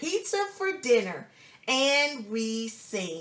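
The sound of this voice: The reading comes in an unforced reading voice.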